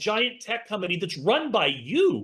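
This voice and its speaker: Projecting his voice, a man speaks at a moderate pace in a high pitch with a bright, sharp tone. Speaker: business speaker at a product pre-launch. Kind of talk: online presentation / pitch. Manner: animated.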